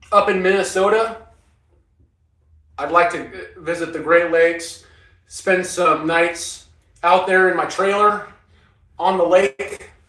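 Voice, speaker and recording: A man's high, raised, projected voice in an American accent, monotone and very slow, with long, frequent pauses and audible room echo. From Northern California. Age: 60s. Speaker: off-grid living vlogger, former Marine. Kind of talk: casual livestream chat answering viewers. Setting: inside a cargo trailer.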